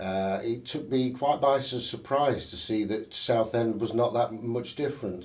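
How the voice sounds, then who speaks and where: Someone with a Sheffield accent speaks at a fairly slow pace with ordinary pitch variation, and audible room echo can be heard. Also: man. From northern England, Sheffield. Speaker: election candidate. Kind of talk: interview. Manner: halting, many fillers and false starts.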